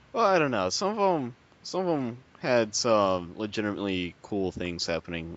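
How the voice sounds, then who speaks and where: A man with an unremarkable speaking voice talks at a moderate pace, his pitch fairly low and his intonation lively. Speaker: gamer on forum panel. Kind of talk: casual chat.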